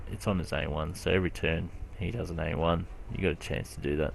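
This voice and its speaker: A man talks at a fairly quick pace in an Australian accent. His pitch is very deep and low, with ordinary variation. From Australia, Brisbane. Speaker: gaming youtuber. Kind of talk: casual gameplay commentary. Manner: hesitant, many fillers. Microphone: poor recording quality.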